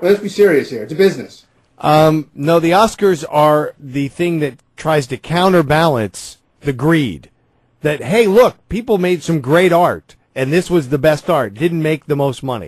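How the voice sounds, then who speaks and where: In a normal speaking voice, a man with a fairly high pitch and lively intonation speaks at a fairly slow pace, the background quiet and the sound dry with no echo. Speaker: radio host. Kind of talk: casual chat. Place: studio. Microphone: studio mic.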